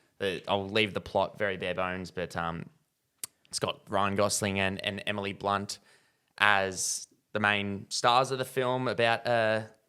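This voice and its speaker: On a very clean recording with a silent background, a man with an Australian accent speaks at a fairly slow pace in a bright, sharp tone, with fairly low pitch and fairly even intonation. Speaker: movie review podcast host. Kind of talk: casual chat.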